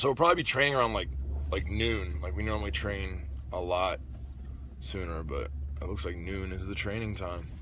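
A man with a very deep, low pitch and vocal fry speaks at a fairly quick pace in a bright, sharp tone. The sound is dry with no echo, and light background noise is present. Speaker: vlogger. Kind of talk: casual vlog chat. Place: car. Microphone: phone near.

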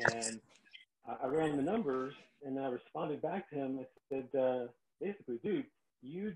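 Loud background noise surrounds a man with an American accent whose pitch varies in an ordinary way. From New York. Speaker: real estate investor hosting a live call. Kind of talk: webinar presentation. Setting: online video call. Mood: frank, storytelling. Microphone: video call.

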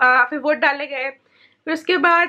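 A woman speaks in a raised, projected voice with a high pitch and ordinary variation. The background is quiet. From India. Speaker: vlogger. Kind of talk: casual vlog talk to camera. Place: home room. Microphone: phone near.

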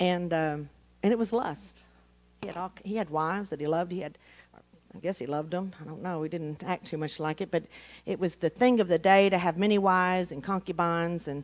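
Here a woman has an unremarkable speaking voice, fairly low in pitch. She goes at a fairly quick pace with big swings in loudness. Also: ordinary pitch variation. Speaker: Bible teacher. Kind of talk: sermon. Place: church.

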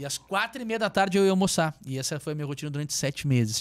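Lively in intonation and fairly high in pitch, a man rattles along very fast. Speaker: entrepreneur; podcast guest. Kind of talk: casual chat. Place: studio. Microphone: studio mic.

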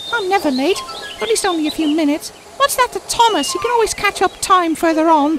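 A put-on character voice at a very fast pace amid clear background noise. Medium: audio drama. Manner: indignant, defensive.

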